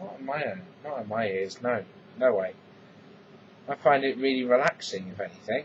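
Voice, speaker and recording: A man with an English accent speaks at a medium pitch with lively intonation, leaving long, frequent pauses. Noticeable background noise runs under his voice. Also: moderate pace, big swings in loudness. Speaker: vlogger. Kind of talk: casual vlog monologue.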